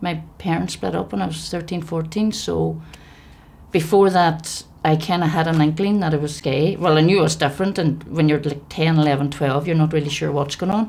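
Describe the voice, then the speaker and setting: In an Ulster accent, a woman talks at a fairly quick pace in a very deep, low pitch, with vocal fry and ordinary pitch variation. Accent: Ulster Irish. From Ireland, County Donegal and Omagh. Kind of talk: testimony.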